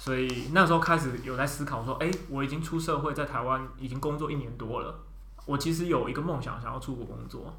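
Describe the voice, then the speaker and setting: Through audible room echo and noticeable background noise, a man speaks at a fairly quick pace. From Taiwan. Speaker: software engineer. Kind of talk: casual chat. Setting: studio.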